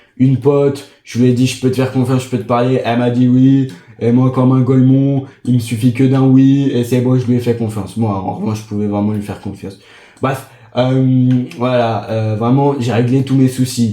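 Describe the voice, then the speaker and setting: Amid audible room echo, a man speaks at a moderate pace in a monotone, flat intonation. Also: medium pitch for a man. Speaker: gaming streamer. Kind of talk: casual gaming vlog monologue.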